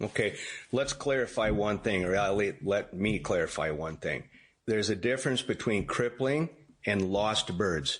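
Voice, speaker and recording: A normal speaking voice from a man of fairly low pitch keeps a moderate pace, lively intonation and very even loudness. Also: quiet background. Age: 60s. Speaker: duck hunter and wildlife photographer. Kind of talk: interview.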